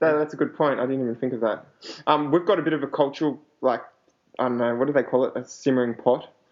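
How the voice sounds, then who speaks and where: The speaker talks very fast with an Australian accent and fairly even intonation. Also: man, fairly high pitch for a man. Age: 20s. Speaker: podcast host. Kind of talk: casual chat.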